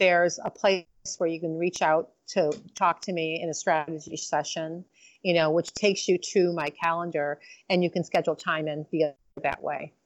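Monotone, flat intonation in an American accent at a moderate pace. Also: woman, fairly low pitch for a woman. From Michigan, Detroit area. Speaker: chiropractor and lifestyle coach. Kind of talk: interview. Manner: halting, many fillers.

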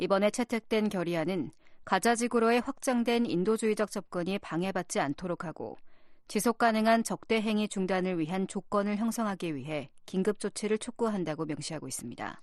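A woman with a normal speaking voice talks at a fairly quick pace in a medium pitch. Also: ordinary pitch variation. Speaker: news reader. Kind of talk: scripted news reading.

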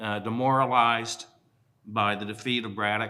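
A man's voice with audible room echo. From western Pennsylvania. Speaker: museum curator and historian. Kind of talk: panel talk. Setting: stage with live audience. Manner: frequent uh fillers.

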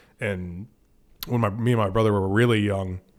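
In a plain, everyday voice, a man with an American accent speaks at a fairly quick pace and fairly low pitch with fairly even intonation, on a very clean recording with a silent background. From Florida, Sarasota. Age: 30s. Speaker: fishing guide. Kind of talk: casual chat.

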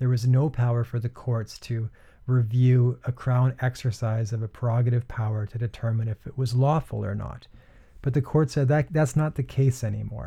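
A somewhat breathy voice with a dark, mellow tone speaks at a moderate pace with fairly even intonation. The recording is very clean, with a silent background. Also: man, medium pitch for a man. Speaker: law lecturer. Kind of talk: lecture. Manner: formal, explanatory.

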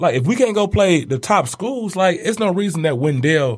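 With an American accent, a man speaks in very wide pitch swings. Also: very clean recording, silent background. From Detroit. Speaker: basketball coach. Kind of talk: casual chat.

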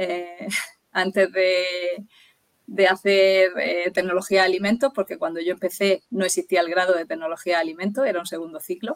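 A normal speaking voice from a woman, medium in pitch and moderate in pace, with a dry, close sound and no echo. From Murcia, Spain. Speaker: nutritionist. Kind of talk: interview.

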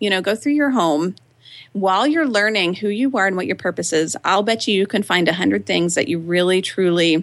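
In a plain, everyday voice, a woman talks at medium pitch and a moderate pace with lively intonation. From Texas, Austin. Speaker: writer and blogger. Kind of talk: interview conversation.

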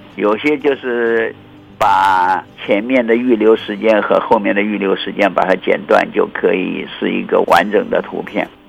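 This man talks at a fairly slow pace. Noticeable noise runs in the background. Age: 80s. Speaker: meteorologist. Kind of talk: interview. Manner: halting, with frequent fillers.

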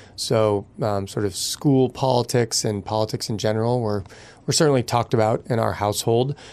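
A medium-pitched man with an American accent, fairly even intonation and a moderate pace. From Massachusetts, Boston area. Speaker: politician. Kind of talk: interview. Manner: halting, many fillers.

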